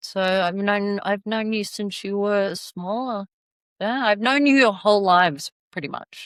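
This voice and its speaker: Speech with an Australian accent comes at a fairly slow pace with ordinary pitch variation. The very clean recording has a silent background and a dry, close sound with no echo. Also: woman, medium pitch for a woman. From Australia, Sydney. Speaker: travel advisor. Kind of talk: casual interview chat.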